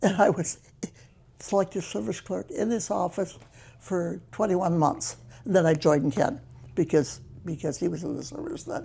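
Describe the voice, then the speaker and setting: At a moderate pace, the speaker uses a dark, mellow tone with vocal fry, in an American accent. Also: woman. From US Midwest, northern Michigan. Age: 90s. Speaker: retired local resident. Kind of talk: oral history interview.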